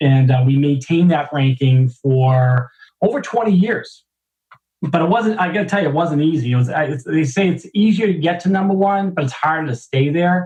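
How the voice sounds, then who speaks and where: Speaking in a Boston accent, a man uses lively intonation at a moderate pace. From Boston, US. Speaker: business executive. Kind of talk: interview. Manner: halting, many fillers.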